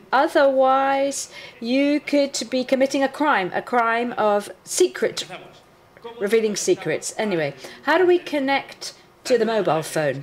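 A woman at a high pitch with lively intonation and a fairly slow pace, amid noticeable background noise. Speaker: forensic analyst presenting a workshop. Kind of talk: technical workshop lecture. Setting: conference room with live audience.

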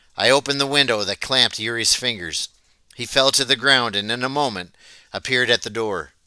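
A natural reading voice with pitch shifting ordinarily

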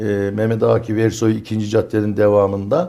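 A man's voice, fairly low in pitch with a dark, mellow tone, moves at a moderate pace in a very clean recording with a silent background. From Çorum, central Anatolia, Turkey. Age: 60s. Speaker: neighbourhood headman. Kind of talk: studio interview. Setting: studio.

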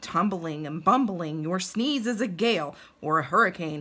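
A woman performs a put-on character voice at a moderate pace. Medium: read story. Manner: pleading, alarmed.

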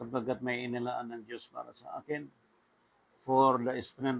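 A man speaks at a medium pitch in a flat monotone. His pace is very slow. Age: 50s. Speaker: preacher. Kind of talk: sermon.

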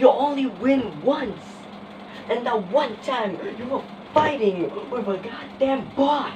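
The speech moves at a very slow pace. Noticeable background noise runs underneath. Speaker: skit performer playing gamers. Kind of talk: comedic skit, acted gaming banter. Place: home room. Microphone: phone near.

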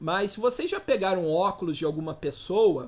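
Here a man talks at a moderate pace. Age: 30s. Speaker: teacher. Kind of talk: lecture.

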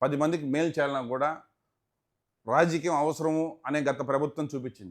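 On a very clean recording with a silent background, a man with an ordinary speaking voice talks at a fairly high pitch with fairly even intonation. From Tirupati, Andhra Pradesh (Rayalaseema), India. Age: 40s. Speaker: businessman and politician. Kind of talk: interview.

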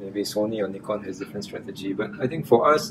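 Faint music is audible behind the voice. The speaker is a man. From Singapore. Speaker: electronics company executive. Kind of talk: interview. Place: meeting room. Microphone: lapel.

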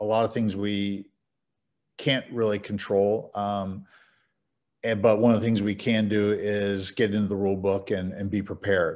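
A man with an American accent talks at a moderate pace and a fairly low pitch in an unremarkable speaking voice. The background is quiet. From Louisville, Kentucky, US. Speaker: umpire assigner and trainer. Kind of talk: training clinic presentation. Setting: video call. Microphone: video call.

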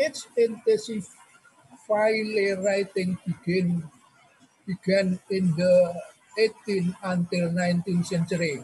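A man with an Indonesian accent and a high pitch speaks at a very slow pace with fairly even intonation and long, frequent pauses. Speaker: emeritus professor. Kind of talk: lecture. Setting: video call. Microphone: webcam.

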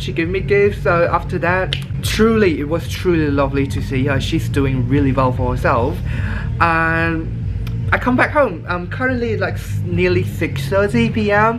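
A man talks fairly slowly with music playing in the background. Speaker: travel vlogger. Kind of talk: casual vlog chat. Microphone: phone near.

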